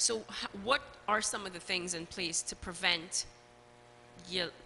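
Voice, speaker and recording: Against noticeable background noise, a woman talks at medium pitch and a fairly slow pace. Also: ordinary pitch variation. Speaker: talk show host. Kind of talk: talk show interview.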